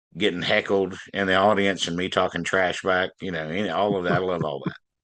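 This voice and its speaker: A man with a Southern US accent speaks in a very deep, low pitch. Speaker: blues band frontman and harmonica player. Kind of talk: interview.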